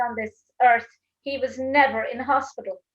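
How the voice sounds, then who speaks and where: A woman with an Irish accent speaks in a high pitch at a moderate pace. Her intonation stays fairly even. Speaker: talk show host. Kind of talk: casual interview chat.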